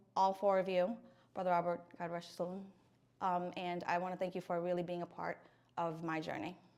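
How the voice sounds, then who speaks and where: In a Filipino accent, a woman talks in a flat monotone at a fairly low pitch with long, frequent pauses, on a very clean recording with a silent background. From Philippines. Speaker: speech language pathologist, alumna. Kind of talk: interview testimony. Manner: hesitant with fillers.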